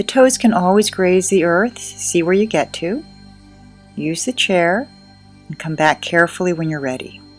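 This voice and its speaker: A soft-spoken woman's calm, gentle voice, fairly low-pitched with lively intonation, at a moderate pace over background music. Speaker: yoga instructor. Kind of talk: guided yoga class instruction.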